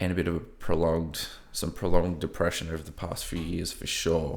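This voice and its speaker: A man with a slight broad Australian accent speaks very deep and low in a monotone, flat delivery, with audible room echo. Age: 30s. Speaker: podcast host. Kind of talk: personal monologue. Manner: hesitant, many fillers.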